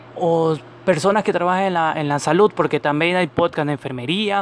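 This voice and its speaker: A man speaks at a high pitch and a fairly quick pace with ordinary pitch variation. There is noticeable background noise. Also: dry, close sound with no echo. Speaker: podcast host, medical professional. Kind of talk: educational podcast monologue. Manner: halting, stumbles over words.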